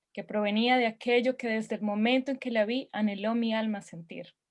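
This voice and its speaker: This woman speaks with a Spanish accent at a fairly quick pace. Her pitch is fairly high. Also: very clean recording, silent background. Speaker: open-mic poet. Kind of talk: poetry reading.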